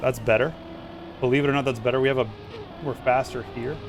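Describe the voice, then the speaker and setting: An animated man with an American accent, medium pitch, over noticeable background noise. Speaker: gaming streamer. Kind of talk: live gameplay commentary. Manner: casual, animated.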